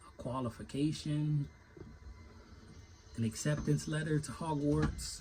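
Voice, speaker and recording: A somewhat breathy, dark, mellow voice in an American accent, at a moderate pace with ordinary pitch variation. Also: man. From Virginia. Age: 30s. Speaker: finish carpenter. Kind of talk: casual rant vlog. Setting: inside tool trailer. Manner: casual, rambling.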